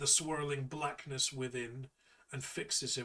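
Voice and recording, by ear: This is reading aloud in a natural voice. The text is read through in that manner.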